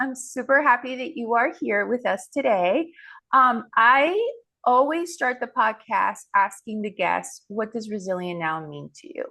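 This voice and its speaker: Against a quiet background, a woman speaks at a fairly slow pace. Her high voice swings very widely in pitch, with big swings in loudness too. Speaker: podcast host. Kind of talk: podcast intro. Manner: upbeat.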